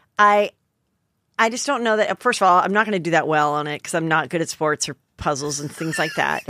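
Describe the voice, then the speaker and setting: A woman talks at a very fast pace with lively intonation and a fairly low pitch. Her tone is bright and sharp, and the sound is dry with no echo. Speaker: comedian and podcast host; comedian, podcast host. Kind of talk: casual chat. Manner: animated. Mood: gossipy, joking. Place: studio. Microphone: studio mic.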